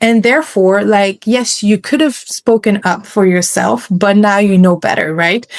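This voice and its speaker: A woman with a non-native accent speaks with hardly any pauses and ordinary pitch variation. Her loudness stays very even. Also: medium pitch for a woman, fairly slow pace. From West Africa. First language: not English. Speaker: programmatic media buyer. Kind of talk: podcast interview. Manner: casual, halting with self-corrections.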